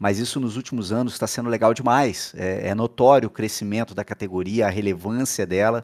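A man with a plain, everyday voice talks at a fairly quick pace, pitched fairly low. He barely pauses, his intonation stays fairly even, and the background is quiet. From Volta Redonda, interior of Rio de Janeiro state, Brazil; Rio de Janeiro state, Brazil. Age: 30s. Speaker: sim racing driver. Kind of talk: interview monologue. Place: home room. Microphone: headset.

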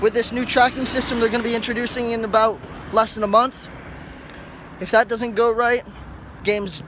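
Against light background noise, a man with a high pitch speaks in a flat monotone at a moderate pace, with long, frequent pauses and a dry sound with no echo. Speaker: vlogger. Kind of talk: casual vlog chat. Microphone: earbuds.

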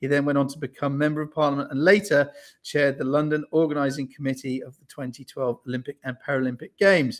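A man talks at a very fast pace with fairly even intonation against a quiet background. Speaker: event host. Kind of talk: introduction of a guest. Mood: cheerful, smiling. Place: home room. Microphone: video call.

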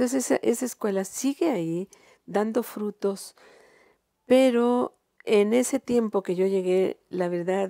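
A woman's dark, mellow tone at a medium pitch, with ordinary pitch variation and a fairly slow pace, dry with no echo against a quiet background. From Mexico, Guerrero (San Jerónimo); Guerrero, Mexico. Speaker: retired teacher and singer; retired teacher. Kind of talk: interview. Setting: her home. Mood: calm, reflective. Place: home room. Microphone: lapel.

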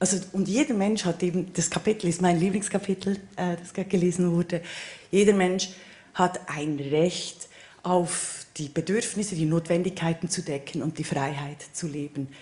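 The speaker talks in a Swiss German accent with ordinary pitch variation. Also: woman. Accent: Swiss German-accented High German. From Switzerland. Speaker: political scientist panelist. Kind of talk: panel discussion. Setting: stage with audience. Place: stage. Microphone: handheld.

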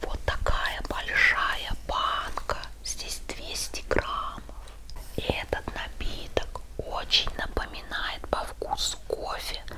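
A woman whispers her words at a very slow pace. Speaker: home vlogger. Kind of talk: whispered ASMR product review. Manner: whispered. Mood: playful, friendly. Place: home room. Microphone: lapel.

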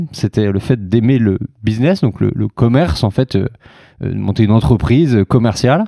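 A man with a dark, mellow tone and medium pitch talks at a moderate pace with lively intonation, the sound dry and close with no echo. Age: 30s. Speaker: co-founder of an outdoor travel startup. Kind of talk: interview.

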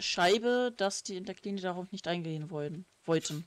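This woman has a normal speaking voice at a medium pitch with ordinary pitch variation. She talks at a fairly slow pace, and the sound is dry and close with no echo. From Lower Saxony, northern Germany. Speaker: gaming streamer. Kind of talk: casual chat while playing a game. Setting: live stream, recorded for video upload.

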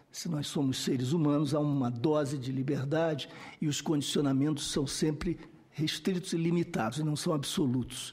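A man speaks with fairly even intonation and a somewhat breathy voice. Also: moderate pace. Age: 60s. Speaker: researcher and expert witness on violence; witness. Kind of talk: testimony at a parliamentary hearing. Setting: senate committee hearing room. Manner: formal. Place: meeting room. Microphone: podium.

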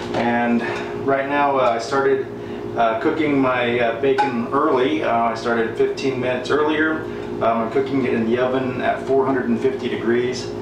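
There is noticeable background noise and audible room echo. A man speaks at a moderate pace. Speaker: home cook vlogger. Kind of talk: casual cooking tutorial. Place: kitchen. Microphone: camera far.

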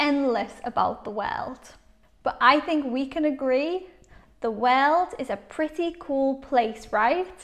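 A woman with a Liverpool accent speaks very slowly in a high voice. The background is quiet. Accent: Scouse. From Liverpool, England. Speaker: English teacher. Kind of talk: English shadowing lesson. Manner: clear, slow.

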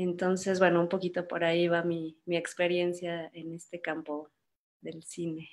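Speaking fairly slowly in a monotone, flat intonation, a woman with a fairly low pitch shows big swings in loudness. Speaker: filmmaker. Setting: video call.

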